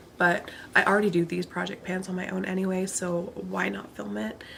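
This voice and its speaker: Noticeable background noise behind a woman's voice. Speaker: beauty vlogger. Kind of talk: casual vlog monologue. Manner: monotone.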